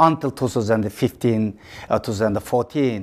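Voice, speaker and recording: A man at a moderate pace with a Xinjiang accent and lively intonation, on a very clean recording with a silent background. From East Turkestan (Xinjiang, China). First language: Uyghur. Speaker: activist and author. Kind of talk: interview. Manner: halting.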